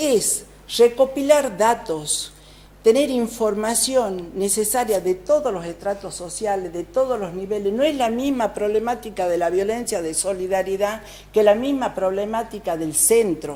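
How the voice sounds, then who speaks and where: Background noise is noticeable in this clip. The woman's voice sits fairly high. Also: ordinary pitch variation, fairly slow pace. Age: 60s. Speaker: provincial legislator. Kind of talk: TV interview.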